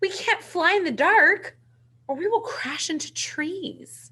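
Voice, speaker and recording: Squeaky and extremely high, this woman's put-on character voice moves at a fairly slow pace. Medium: read story.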